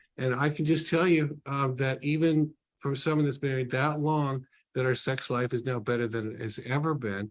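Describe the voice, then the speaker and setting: A man with a plain, everyday voice speaks at a moderate pace, fairly high in pitch with fairly even intonation. The recording is very clean, with a silent background. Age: 60s. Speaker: ministry leader, book launch guest. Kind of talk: casual interview talk.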